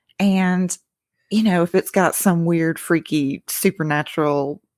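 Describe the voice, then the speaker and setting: A woman with a Southern US accent speaks at a fairly slow pace with fairly even intonation. The very clean recording has a silent background and a dry, close sound with no echo. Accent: good Southern. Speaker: podcaster guest. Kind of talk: casual chat.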